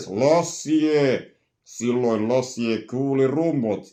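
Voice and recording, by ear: Over a quiet background, a man at medium pitch talks at a very slow pace in a put-on character voice.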